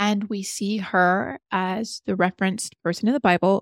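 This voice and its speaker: A woman with an ordinary speaking voice at medium pitch and a moderate pace, in a very clean recording with a silent background and a dry, close sound with no echo. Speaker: actress. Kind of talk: interview conversation.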